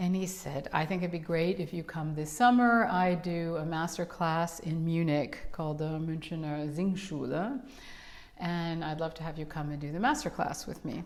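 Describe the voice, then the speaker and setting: A woman with a New York accent speaks at a moderate pace, her fairly low pitch showing ordinary pitch variation. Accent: New York American. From New York City. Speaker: opera singer. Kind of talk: casual chat.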